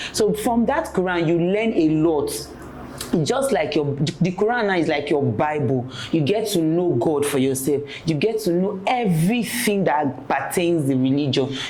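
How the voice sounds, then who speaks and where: A woman with a fairly low pitch speaks at a moderate pace with very even loudness. Audible room echo and noticeable background noise are present. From Nigeria (Yoruba). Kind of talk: testimony interview.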